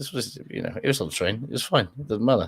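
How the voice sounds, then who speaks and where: A man is speaking. He has a British accent. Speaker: rugby podcast host. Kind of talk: casual chat. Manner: hesitant, filler-heavy.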